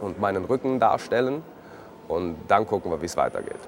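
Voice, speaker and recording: This is a man speaking. His intonation is lively. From Switzerland, Zurich. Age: 30s. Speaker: living artwork, tattooed art subject. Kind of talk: personal account to camera.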